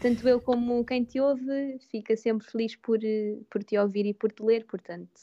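A woman speaks with a fairly high pitch and a dark, mellow tone. Her intonation is fairly even, and the sound is dry and close with no echo. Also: moderate pace. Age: 20s. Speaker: photographer and content creator. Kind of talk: casual interview. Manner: calm.

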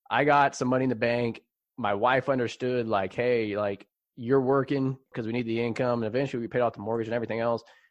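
The speaker talks at a fairly quick pace in an American accent with fairly even intonation. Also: man. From US West Coast, San Jose, California. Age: 30s. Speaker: fintech company founder and CEO. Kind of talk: casual interview.

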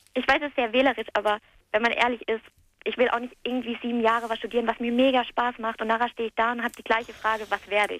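A woman talks at a very fast pace. Her fairly high voice stays monotone and flat. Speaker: caller. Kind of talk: phone-in casual chat. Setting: phone call.

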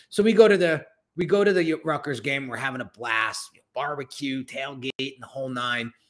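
With an American accent, a man in a plain, everyday voice speaks at a fairly quick pace, his fairly high pitch carried by lively intonation and big swings in loudness. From Northern New Jersey. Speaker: branding and design entrepreneur. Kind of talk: interview.

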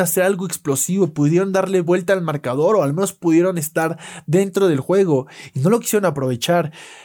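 A man talks at a high pitch and a moderate pace with a dark, mellow tone. The recording is very clean, with a silent background. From Mexico. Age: 20s. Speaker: NFL podcast host. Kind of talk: solo sports analysis podcast.

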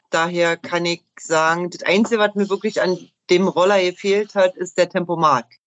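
Using an unremarkable speaking voice, a woman talks at a moderate pace with fairly low pitch and fairly even intonation. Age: 40s. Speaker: motorcyclist. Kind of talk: casual chat.

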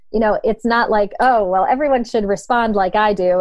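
A woman with a normal speaking voice and an American accent, fairly high in pitch with ordinary pitch variation. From Ohio, northeastern US. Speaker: leadership coach and former runner. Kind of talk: casual interview.

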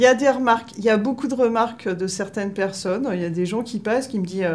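Over noticeable background noise, a woman with a fairly high pitch talks at a very fast pace with hardly any pauses and ordinary pitch variation. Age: 40s. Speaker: municipal groundskeeper. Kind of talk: interview testimony. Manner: halting, many hesitations.

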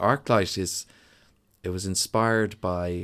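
A man with a Dublin accent and a very deep, low pitch, speaking at a very slow pace on a very clean recording with a silent background. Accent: Dublin Irish. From Ireland, Dublin (Donnybrook). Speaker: musician and songwriter. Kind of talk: casual interview.

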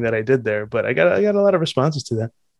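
Very fast speech with an American accent. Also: man. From New Jersey. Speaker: podcast co-host. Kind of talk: casual chat. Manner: animated.

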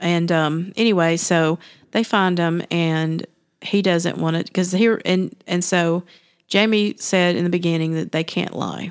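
A woman with a plain, everyday voice speaks at a fairly slow pace and fairly low pitch, her intonation fairly even, on a very clean recording with a silent background. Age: 40s. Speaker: podcast host. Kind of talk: casual chat; scripted disclaimer reading.

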